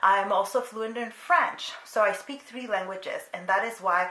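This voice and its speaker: Against noticeable background noise and audible room echo, a woman talks at a moderate pace with fairly even intonation. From Mexico, moved to US at five. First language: Spanish. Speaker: booktuber. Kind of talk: casual vlog chat. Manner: casual, many fillers.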